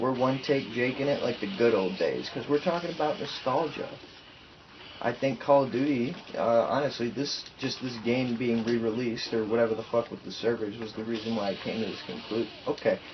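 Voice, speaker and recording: Against noticeable background noise, a man of medium pitch talks at a fairly quick pace with ordinary pitch variation. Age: 20s. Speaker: youtuber, college student. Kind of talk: casual vlog monologue. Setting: home, single take. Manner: halting, many fillers.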